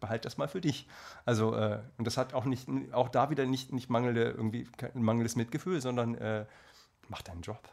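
The pace is fairly quick, with long, frequent pauses and ordinary pitch variation. There is vocal fry and a slight Hessian accent. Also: man, medium pitch for a man. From Hesse, Marburg. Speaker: singer and actor. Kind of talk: casual chat. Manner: halting, many fillers.

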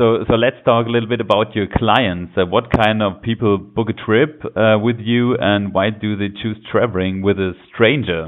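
Speaking in a German accent, a man keeps a fairly low pitch, fairly even intonation and a moderate pace. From Germany. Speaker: podcast host. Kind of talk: interview. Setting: phone call.

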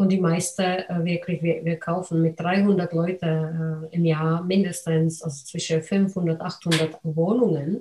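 A woman with a non-native accent speaks very slowly at a fairly low pitch in a monotone, flat intonation, with hardly any pauses. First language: not German (speaking German). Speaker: podcast host, real estate investor. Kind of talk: interview.

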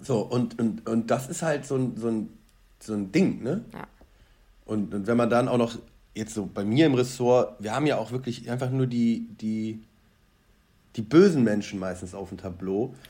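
Long, frequent pauses break up a man's dark, mellow tone. He keeps a moderate pace with ordinary pitch variation. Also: medium pitch for a man. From Bonn, western Germany. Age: 30s. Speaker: news editor. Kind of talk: casual interview.

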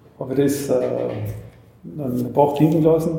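Over noticeable background noise and audible room echo, a man talks at a fairly high pitch. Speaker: fruit brandy distiller. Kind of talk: interview with tasting. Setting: on site at his distillery.

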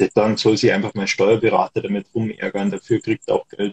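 This man's somewhat breathy voice comes across dry and close, with no echo. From Germany. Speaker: dividend investor and travel blogger. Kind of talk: casual panel chat.

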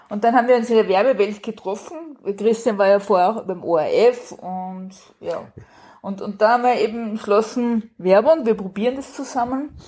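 A woman speaks at a moderate pace in a fairly high pitch with ordinary pitch variation. Her tone is dark and mellow. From Austria. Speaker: crime novelist. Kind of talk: casual chat.

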